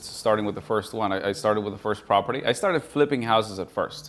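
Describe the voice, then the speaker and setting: Here a man has a plain, everyday voice, fairly low in pitch, with ordinary pitch variation. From Colombia, raised from about eleven in Houston, Texas. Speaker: real estate investor. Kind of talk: interview podcast. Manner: relaxed, many fillers (uh, um).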